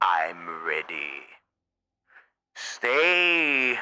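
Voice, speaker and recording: A man puts on a raspy character voice at medium pitch, swinging very widely up and down. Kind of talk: voice trolling in online game chat. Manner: old-time 1920s radio announcer style; theatrical, showman-like.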